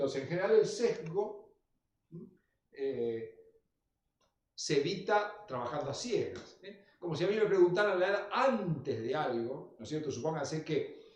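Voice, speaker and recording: A man's high voice with a Rosario accent, fairly slow, full of very wide pitch swings and big swings in loudness, with audible room echo. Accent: Argentine Spanish (Rosario area). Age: 60s. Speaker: lecturer. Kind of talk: lecture.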